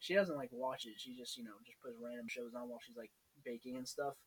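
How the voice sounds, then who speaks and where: In a plain, everyday voice, a man of medium pitch speaks with fairly even intonation. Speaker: college student podcast host. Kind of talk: casual chat.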